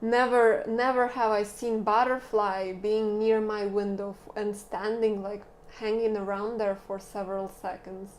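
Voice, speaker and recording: Soft-spoken and monotone, a woman talks at a fairly slow pace with hardly any pauses and flat intonation. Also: fairly high pitch for a woman. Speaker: tarot reader. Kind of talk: tarot reading. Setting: indoors filming by a window.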